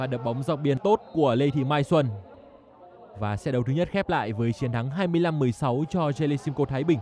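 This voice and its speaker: In an ordinary speaking voice, a man with a fairly high pitch talks at a moderate pace with ordinary pitch variation. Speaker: volleyball commentator. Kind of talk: live sports commentary on a volleyball match. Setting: indoor sports hall. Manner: matter-of-fact, brisk play-by-play, calling each point and score in an even tone.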